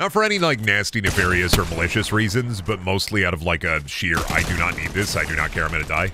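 A man's low, bright, sharp voice at a fast pace, with lively intonation and faint background noise.

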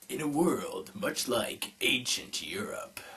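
A man's whispered, put-on character voice at a fairly slow pace. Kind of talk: review commentary. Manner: epic, dramatic.

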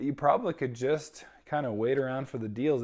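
Over a quiet background, a man's voice shows ordinary pitch variation. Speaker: book reviewer vlogger. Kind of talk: casual review commentary. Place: home room. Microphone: lapel.

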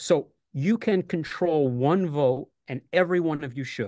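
A man with an American accent speaks at a moderate pace in a dark, mellow tone with fairly high pitch. His intonation is lively, and the background is quiet. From New York City. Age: 60s. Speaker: retired teacher, union candidate. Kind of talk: casual chat. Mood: earnest, persuasive. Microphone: video call.

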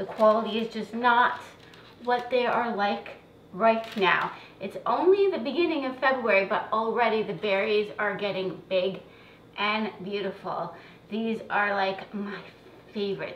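Over light background noise and audible room echo, a woman speaks at a fairly slow pace with ordinary pitch variation. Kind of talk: tutorial. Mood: warm, chatty. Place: kitchen. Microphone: camera far.

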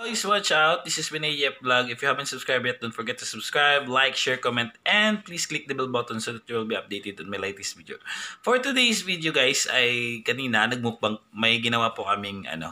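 Lively in intonation and bright and sharp in tone, a man talks at a fairly quick pace with hardly any pauses. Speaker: vlogger. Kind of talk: casual vlog chat. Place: home room. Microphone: phone near.

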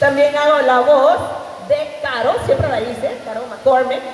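A woman's high voice with ordinary pitch variation at a fairly slow pace, with audible room echo.

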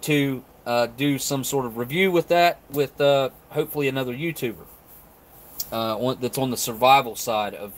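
Ordinary pitch variation marks this man's speech, delivered at a moderate pace. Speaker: ration reviewer. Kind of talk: casual live stream chat.

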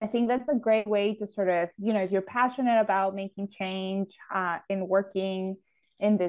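Her Spanish accent comes through at a moderate pace with fairly even intonation. The woman is heard against a quiet background. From Ecuador (Quito), moved to Houston, Texas at 13. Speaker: city sustainability official, architect and urban planner; guest. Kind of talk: interview conversation. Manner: frequent fillers (um, uh). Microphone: earbuds.

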